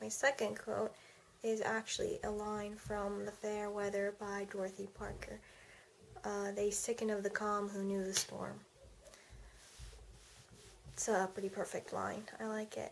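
A quiet woman at a fairly slow pace, long pauses coming often, light background noise behind her. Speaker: vlogger. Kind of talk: casual vlog chat. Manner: drowsy, quiet bedtime talk. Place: home room. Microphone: webcam.

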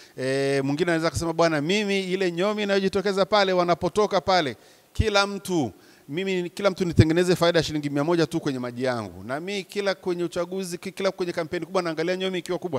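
Speaking at a very fast pace with hardly any pauses, a man with a high pitch sounds animated and shows ordinary pitch variation. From Tanzania. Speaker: professor, business lecturer. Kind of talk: talk to an audience of entrepreneurs. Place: hall. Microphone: handheld.

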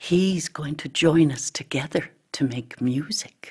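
A woman's put-on character voice, low in pitch with a slightly mellow tone and a husky, rough edge, at a slow pace with ordinary pitch variation.

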